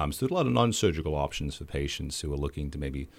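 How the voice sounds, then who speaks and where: Vocal fry runs through this man's very deep, low voice. The recording is very clean, with a silent background. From rural Queensland-type small farming town, Australia. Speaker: optometrist. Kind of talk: radio interview. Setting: radio studio.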